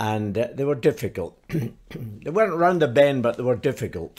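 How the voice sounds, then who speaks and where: A man speaks fairly slowly with lively intonation and a Scottish accent, in a very clean recording with a silent background. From Glasgow, Scotland. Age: 80s+. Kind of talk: interview answer.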